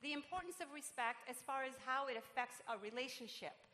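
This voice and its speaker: A woman with a Puerto Rican accent speaks in a raised, projected voice with a bright, sharp tone. Her pace is moderate and her pitch variation ordinary. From Puerto Rico. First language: Spanish. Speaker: pastor. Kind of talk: sermon. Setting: church.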